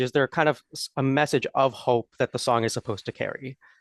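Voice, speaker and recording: A man does the talking. His voice sounds close and dry, without any echo. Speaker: interviewer. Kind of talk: interview. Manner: halting, many fillers.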